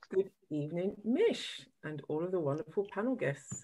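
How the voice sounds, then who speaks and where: Lively intonation runs through this woman's speech in a British accent. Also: very clean recording, silent background. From UK. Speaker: physiotherapist. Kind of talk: panel discussion.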